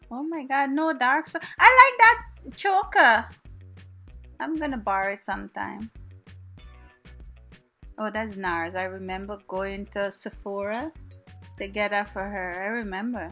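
Over music in the background, a woman with a Guyanese accent and medium pitch speaks in a playful tone at a fairly slow pace, with long, frequent pauses, very wide pitch swings and big swings in loudness. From Guyana. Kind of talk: comedic voiceover commentary on a makeup tutorial. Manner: casual, playful.

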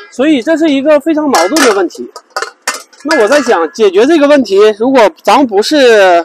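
With lively intonation and an extremely high pitch, a man speaks at a moderate pace in a dry sound with no echo, over noticeable background noise. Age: 40s. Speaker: RV travel vlogger. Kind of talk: casual vlog monologue.

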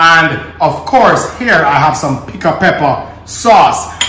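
Over noticeable background noise, a man speaks at a fairly slow pace. His pitch is high. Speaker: home cook host. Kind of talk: cooking tutorial. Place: kitchen. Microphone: camera far.

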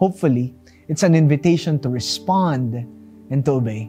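The speaker's intonation is lively, with faint music in the background. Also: man. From Philippines. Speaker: pastor. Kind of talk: devotional talk. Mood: warm, smiling, earnest. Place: studio.

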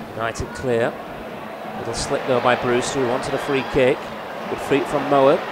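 With an animated tone and long, frequent pauses, a man speaks at a medium pitch over noticeable background noise. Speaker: football match commentator. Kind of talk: live football commentary. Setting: club channel highlights, commentary over match footage. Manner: animated, fast-paced, rising with each goal.

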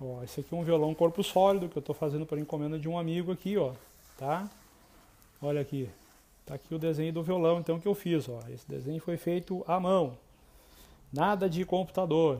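In a dark, mellow tone, a man talks at a fairly quick pace with ordinary pitch variation. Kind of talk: tutorial. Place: home room. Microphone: earbuds.

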